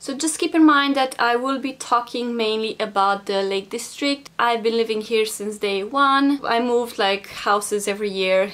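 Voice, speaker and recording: Speaking in a Romanian accent with hardly any pauses, a woman uses ordinary pitch variation over noticeable background noise. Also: fairly high pitch for a woman, moderate pace. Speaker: vlogger. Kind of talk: casual vlog talk.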